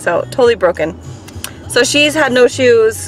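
Faint music plays behind a woman speaking at a moderate pace. The sound is dry, without echo. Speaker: family vlogger. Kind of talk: casual vlog chat. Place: car. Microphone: phone near.

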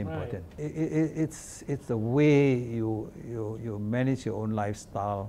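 Light background noise sits under a man with a Singaporean accent who speaks at a medium pitch and a fairly slow pace, with hardly any pauses. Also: ordinary pitch variation. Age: 80s+. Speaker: politician, retired physician; interview guest. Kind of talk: interview answer. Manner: casual anecdotal storytelling. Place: studio.

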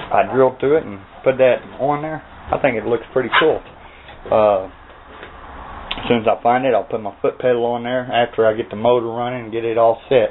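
Light background noise sits behind a man's voice. He speaks at a fairly quick pace with monotone, flat intonation. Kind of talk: casual vlog chat. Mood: relaxed, pleased. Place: workshop. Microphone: phone near.

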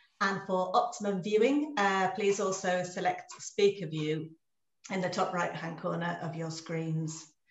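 Audible room echo surrounds a woman speaking at a fairly slow pace. Her pitch varies in an ordinary way. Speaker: webinar host. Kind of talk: webinar introduction and housekeeping. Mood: warm, cheerful. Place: home room.

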